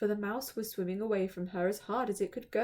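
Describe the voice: Someone reads out loud plainly, keeping the intonation fairly even.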